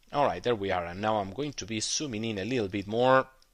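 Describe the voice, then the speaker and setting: A man with a non-native accent at a fairly quick pace, on a very clean recording with a silent background. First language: not English. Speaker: trading educator. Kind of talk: tutorial. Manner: halting, many fillers.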